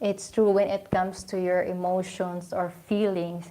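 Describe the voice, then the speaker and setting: A woman speaks in a Filipino accent at a medium pitch. Her tone is dark and mellow. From Philippines. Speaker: vlogger. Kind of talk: casual live stream talk. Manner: hesitant.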